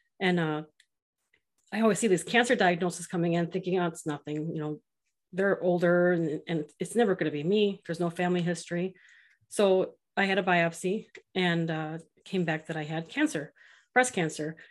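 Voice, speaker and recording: Against a quiet background, a woman with a fairly low pitch speaks at a moderate pace. She leaves long, frequent pauses, and her pitch varies an ordinary amount. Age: 40s. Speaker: dating app founder and cancer survivor. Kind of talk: casual chat.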